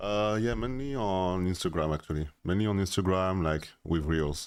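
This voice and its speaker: On a very clean recording with a silent background, a man with a French accent speaks at a moderate pace in a very deep, low pitch, with ordinary pitch variation and very even loudness. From France. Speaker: interviewee. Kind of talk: user interview. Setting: in a room with a mic. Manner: hesitant, many filler sounds.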